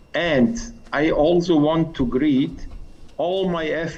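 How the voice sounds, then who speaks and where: A man speaks with a non-native accent and ordinary pitch variation. Audible room echo surrounds his voice. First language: not English. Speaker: policy officer at international agency. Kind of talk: formal speech. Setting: video call.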